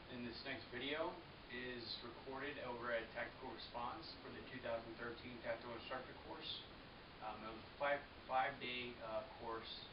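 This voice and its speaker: A man talks at a moderate pace. Noticeable background noise runs underneath. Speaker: firearms instructor trainee. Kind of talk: casual talk to camera. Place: home room.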